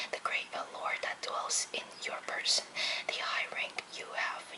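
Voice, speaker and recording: Fairly slow whispering amid noticeable background noise. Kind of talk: book reading, poetry reading aloud. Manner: soft-spoken, whispered.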